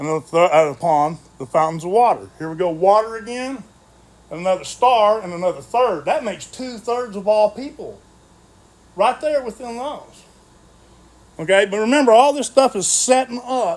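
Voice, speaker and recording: Using lively intonation, a man with a high voice speaks with big swings in loudness. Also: moderate pace. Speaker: Bible study teacher. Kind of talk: Bible study lecture. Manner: halting, stumbling over words.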